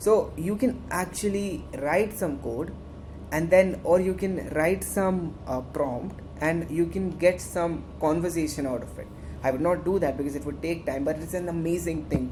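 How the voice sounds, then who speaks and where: With an Indian accent, a woman speaks at a fairly slow pace in a fairly low pitch with ordinary pitch variation, amid audible room echo. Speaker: student tech club instructor. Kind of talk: tutorial. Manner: halting; animated.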